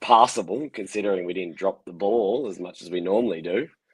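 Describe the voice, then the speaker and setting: This man has a fairly low pitch. His pitch variation is ordinary. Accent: Australian. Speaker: sports fan. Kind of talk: casual chat.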